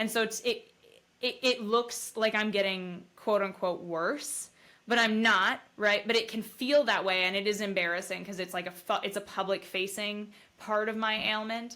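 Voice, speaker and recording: A woman's fairly high voice has a bright, sharp tone and fairly even intonation. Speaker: brain injury survivor. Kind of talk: casual chat. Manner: stutters when talking fast.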